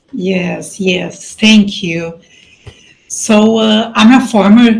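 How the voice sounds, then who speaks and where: A woman's medium-pitched voice with a Brazilian accent. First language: Portuguese. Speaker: life coach and mentor. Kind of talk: casual interview.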